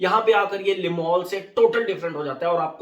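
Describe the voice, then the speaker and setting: This man's high-pitched voice shows ordinary pitch variation as he talks at a moderate pace. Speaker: fragrance reviewer. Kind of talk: product review. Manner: casual, conversational.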